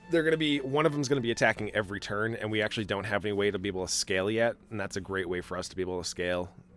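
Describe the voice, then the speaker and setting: The speech comes at a very fast pace with hardly any pauses and lively intonation. Music plays in the background. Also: man, fairly low pitch for a man. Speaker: gaming video creator. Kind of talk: gameplay commentary.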